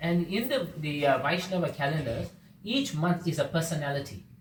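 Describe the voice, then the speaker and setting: A man's fairly high-pitched voice with audible room echo. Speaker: devotional class speaker. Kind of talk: religious class talk. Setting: devotee's home gathering. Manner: fast.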